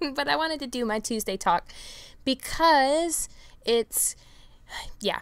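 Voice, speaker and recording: Animated in tone, a woman with a high pitch and lively intonation talks at a fairly slow pace with long, frequent pauses. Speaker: vaping video blogger. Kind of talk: casual vlog chat.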